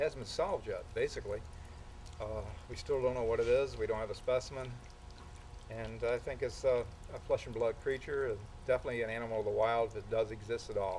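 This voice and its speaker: A man at a very fast pace, broken by long, frequent pauses. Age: 60s. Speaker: retired Sasquatch researcher. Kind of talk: interview. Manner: halting.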